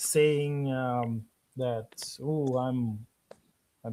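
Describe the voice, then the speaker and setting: A man's dark, mellow voice with fairly even intonation. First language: Bulgarian. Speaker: author. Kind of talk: casual chat. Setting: live stream. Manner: halting, many fillers.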